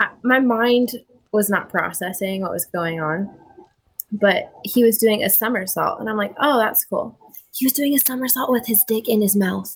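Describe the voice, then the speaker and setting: A woman speaks with an American accent in a normal speaking voice, with ordinary pitch variation. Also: fairly high pitch for a woman, moderate pace. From Montana. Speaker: video chat guest. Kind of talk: casual chat. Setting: video call.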